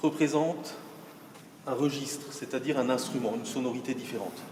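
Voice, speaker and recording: A man talks at a moderate pace. The room has an audible echo and there's noticeable background noise. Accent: slight Alsatian. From Alsace, France. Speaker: organ builder. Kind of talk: guided explanation. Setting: inside a church.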